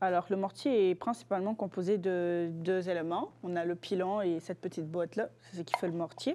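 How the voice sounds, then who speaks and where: Dark, mellow tone from a woman at medium pitch. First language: Lingala (speaking French). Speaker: student guest presenting a cultural object. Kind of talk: casual interview. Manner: hesitant, many fillers.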